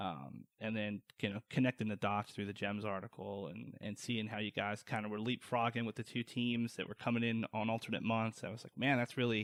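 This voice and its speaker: A man with an American accent talks in a fairly low pitch, hardly pausing. His intonation stays fairly even. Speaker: podcast host. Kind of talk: casual interview chat.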